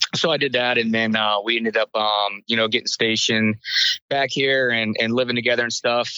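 In an American accent, a man speaks with a normal speaking voice at medium pitch and fairly even intonation. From US South, Inverness, Florida. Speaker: military veteran. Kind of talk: testimony.

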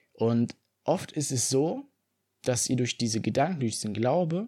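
In a very clean recording with a silent background, a man with a dark, mellow tone talks at a moderate pace and medium pitch, his intonation lively. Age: 20s. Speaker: fitness podcaster. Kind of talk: solo podcast monologue.

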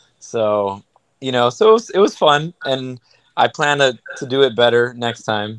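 A man with an unremarkable speaking voice talks at a fairly slow pace, keeping a medium pitch with ordinary pitch variation. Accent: American. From New York, Queens and Miami. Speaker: ultramarathon runner. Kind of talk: casual chat. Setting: video call.

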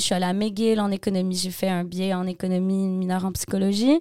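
A woman's medium-pitched voice, dark and mellow, in a flat monotone at a very fast pace, on a very clean recording with a silent background. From Quebec, Montreal. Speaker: singer-songwriter. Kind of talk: interview.

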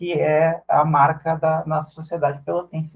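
Speaking at a fairly slow pace is a man with a fairly high pitch. His is a plain, everyday voice. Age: 40s. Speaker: social worker and carnival group leader. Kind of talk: radio interview.

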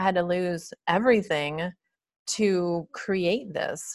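An unremarkable speaking voice from a woman at medium pitch, in a very clean recording with a silent background. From Michigan, US Midwest. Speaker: wellness device inventor. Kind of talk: interview.

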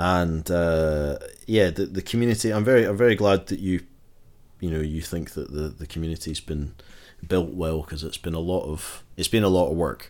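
In a very clean recording with a silent background, a man with a Glaswegian accent talks at a moderate pace in a very deep, low voice. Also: ordinary pitch variation. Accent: Glaswegian Scottish. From Scotland, Glasgow. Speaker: guitar pick shop owner and musician. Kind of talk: casual interview chat.

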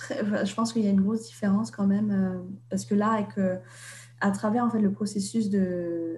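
Amid noticeable background noise, a woman speaks at a moderate pace with long, frequent pauses and very even loudness. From Vietnam, Hanoi, French-educated. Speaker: author. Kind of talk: interview. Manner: halting, many hesitations.

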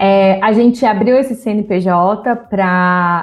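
Over music in the background, a woman talks at medium pitch with fairly even intonation. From Brazil, São José dos Campos (interior of São Paulo state). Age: 20s. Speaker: diversity consultant and communications analyst. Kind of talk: interview conversation.

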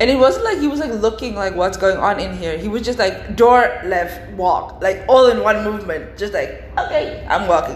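Over noticeable background noise and audible room echo, a woman speaks in an animated tone at a moderate pace with hardly any pauses. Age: 20s. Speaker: podcast host. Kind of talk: casual monologue. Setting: office at work.

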